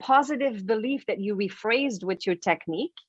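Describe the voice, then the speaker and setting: This woman speaks with a French Canadian accent and lively intonation. Behind her the background is quiet. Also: dry, close sound with no echo. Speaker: author and life coach. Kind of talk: interview.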